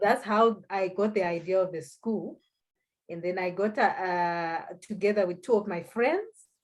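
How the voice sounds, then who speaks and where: A woman's medium-pitched voice at a moderate pace, with ordinary pitch variation and big swings in loudness. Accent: Zimbabwean. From Zimbabwe. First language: Shona. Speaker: economist and language school founder. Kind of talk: interview. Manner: halting.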